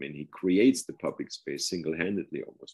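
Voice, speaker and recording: A man with a German accent at a moderate pace. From Germany. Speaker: professor and author. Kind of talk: interview on his book.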